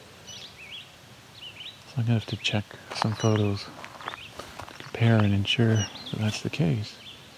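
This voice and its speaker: Against noticeable background noise, a man speaks very slowly at a medium pitch with monotone, flat intonation. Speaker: nature sound recordist and birder. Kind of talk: live birding field commentary. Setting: outdoors at a wetland.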